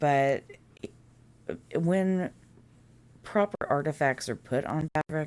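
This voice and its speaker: A woman talks at a very slow pace in a dark, mellow tone. The recording is very clean and the background silent. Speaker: mobile game youtuber. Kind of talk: gameplay tutorial. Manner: stuttering; casual.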